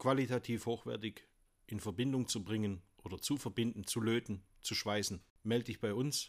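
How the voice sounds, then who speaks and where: With a Swabian accent, a man speaks at a medium pitch with fairly even intonation. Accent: Swabian dialect, moderate. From Swabia, Germany (Dusslingen near Tübingen). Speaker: company managing director. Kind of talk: interview. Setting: at his company premises.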